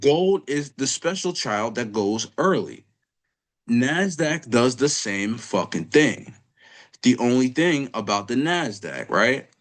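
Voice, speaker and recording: Against a quiet background, a man speaks very slowly at medium pitch with lively intonation. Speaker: trading educator. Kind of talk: screen-share trading lecture.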